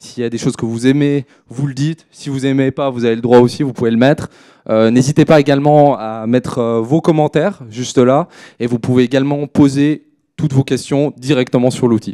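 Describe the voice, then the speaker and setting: A man with a slight Swiss French accent speaks at a fairly quick pace and medium pitch, his dark, mellow tone and fairly even intonation heard in a dry, close sound with no echo. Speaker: crypto trader and consultant. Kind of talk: conference presentation. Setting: stage at a trading fair with audience. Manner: hesitant, many filler words.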